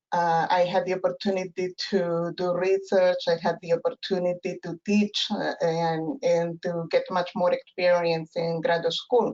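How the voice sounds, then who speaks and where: A woman with a Peruvian accent talks at a fairly slow pace in a fairly low, flat, monotone voice, hardly pausing at all. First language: Spanish. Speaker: professor and family therapist. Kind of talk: interview. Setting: webinar. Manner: halting, many fillers.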